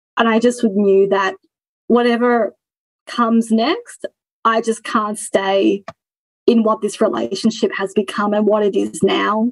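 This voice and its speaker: Fairly high-pitched woman in an Australian accent, fairly slow pace, fairly even intonation, long and frequent pauses. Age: 30s. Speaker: former coaching client. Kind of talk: interview. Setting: video call.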